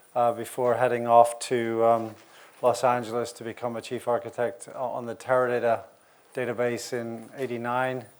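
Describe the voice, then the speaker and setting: A man speaks in a Northern Irish accent at a medium pitch and a moderate pace. His intonation is flat and monotone, but his loudness swings widely. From Northern Ireland. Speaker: industry analyst. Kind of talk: conference talk. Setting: conference session with audience. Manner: hesitant, many fillers.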